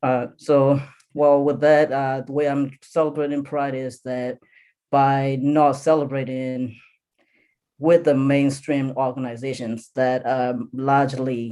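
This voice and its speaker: Very slow and monotone, a man with an American accent speaks at a fairly high pitch. His tone is dark and mellow, the intonation flat. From California. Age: 20s. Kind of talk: panel discussion. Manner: halting, many fillers.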